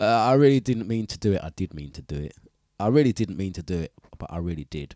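A man talks very fast at a fairly low pitch in a dark, mellow tone. His intonation is lively, his loudness swings a lot, and the sound is dry and close with no echo. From East London. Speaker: livestream host chatting with viewers. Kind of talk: casual chat.

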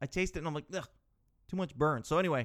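Recorded very cleanly against a silent background, a man with a Canadian accent speaks in an animated tone. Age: 30s. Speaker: podcast host. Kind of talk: casual monologue storytelling.

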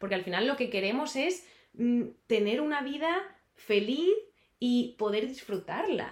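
A woman speaks high with very wide pitch swings. She moves at a fairly slow pace with long, frequent pauses. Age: 30s. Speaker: dietitian and health coach. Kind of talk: casual interview.

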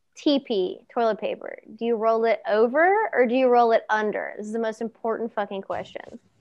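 The speaker has an American accent and keeps a moderate pace with hardly any pauses. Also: woman. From Ohio, US Midwest. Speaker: podcast host. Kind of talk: casual interview chat.

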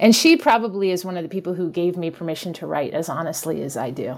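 Very fast speech from a woman with a fairly low pitch, ordinary pitch variation and big swings in loudness, against noticeable background noise. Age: 50s. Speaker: English teacher and memoir writer. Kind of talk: interview conversation.

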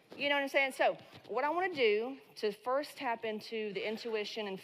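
Against noticeable background noise, a woman with a fairly high pitch speaks in an animated tone at a moderate pace with ordinary pitch variation. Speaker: business coach and keynote speaker. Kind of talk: motivational talk. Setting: stage with audience. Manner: shaky voice.

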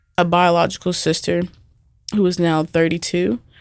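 Music plays in the background. A woman speaks at a fairly low pitch. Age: 20s. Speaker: teacher. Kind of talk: testimony. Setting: studio.

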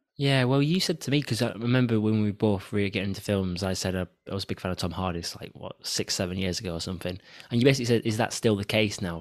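Over a silent background in a very clean recording, a man with a northern English accent speaks very fast with ordinary pitch variation. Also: fairly low pitch for a man. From northern England. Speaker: film podcast host. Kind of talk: casual chat.

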